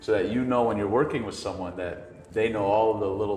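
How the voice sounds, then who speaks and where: A man talks at a fairly quick pace in a fairly low voice with fairly even intonation. Music plays in the background, and the room echo is audible. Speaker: loan officer. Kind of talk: casual interview. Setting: in person at a real estate office. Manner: stuttering at times.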